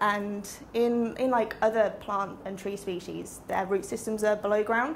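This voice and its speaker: Light background noise sits behind a woman whose intonation is monotone and flat. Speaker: presenter. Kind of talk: lecture. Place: classroom. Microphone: camera far.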